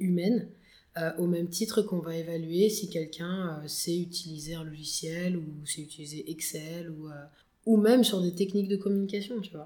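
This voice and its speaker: Dark, mellow tone at a moderate pace, with fairly even intonation. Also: woman. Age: 20s. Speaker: founder of a social enterprise on soft skills. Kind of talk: podcast interview. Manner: hesitant, many fillers.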